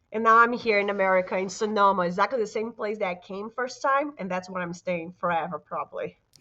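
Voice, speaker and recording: Woman with a Brazilian Portuguese accent, medium pitch, ordinary pitch variation, very fast pace, hardly any pauses. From Brazil, Vitória, Espírito Santo. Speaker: fitness business owner. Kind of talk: casual interview chat.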